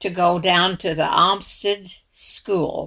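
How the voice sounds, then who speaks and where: A woman with an American accent talks with vocal fry and fairly even intonation. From rural southern Illinois, Pulaski County. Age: 80s+. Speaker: retired school teacher. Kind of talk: personal testimony.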